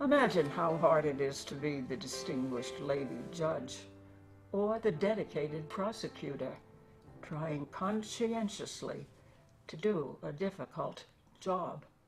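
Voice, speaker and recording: Over music in the background, a woman with a very deep, low pitch talks fairly slowly and with lively intonation. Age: 80s+. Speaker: poet. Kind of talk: poetry reading.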